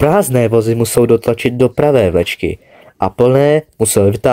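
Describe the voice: The speaker does plain reading aloud.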